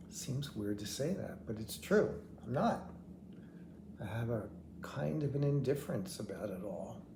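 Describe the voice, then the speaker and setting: A man's somewhat breathy, dark, mellow voice at a medium pitch and fairly slow pace, with very wide pitch swings, long, frequent pauses and audible room echo. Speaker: vlogger with terminal heart failure. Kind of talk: personal video diary. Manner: halting, word-finding pauses.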